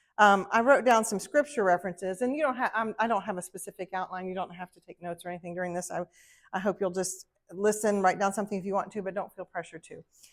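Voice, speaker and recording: A very fast woman's voice at medium pitch with a Southern US accent, ordinary pitch variation and big swings in loudness, in a very clean recording with a silent background and a dry, close sound with no echo. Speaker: ministry wife, conference speaker. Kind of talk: talk to women's group. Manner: casual, heartfelt.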